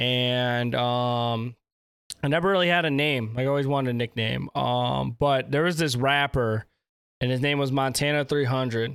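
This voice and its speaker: A man has an unremarkable speaking voice at a medium pitch. His loudness is very even, his intonation fairly even and his pace moderate. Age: 20s. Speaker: podcast host and content creator. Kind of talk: casual chat. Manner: casual, filler-heavy.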